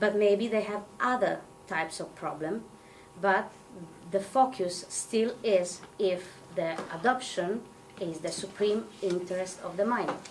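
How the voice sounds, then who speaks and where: The speaker has a non-native accent. Audible room echo surrounds the voice. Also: woman, medium pitch for a woman, ordinary pitch variation, fairly slow pace. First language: Italian. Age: 30s. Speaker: psychotherapist and adoptee representative. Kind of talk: presentation. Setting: event with audience. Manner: halting.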